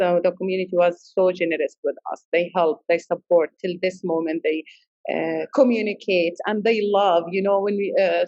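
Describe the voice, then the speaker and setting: With fairly even intonation, a woman speaks in a non-native accent. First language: not English. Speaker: immigrant restaurant founder and chef. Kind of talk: interview. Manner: halting, many fillers.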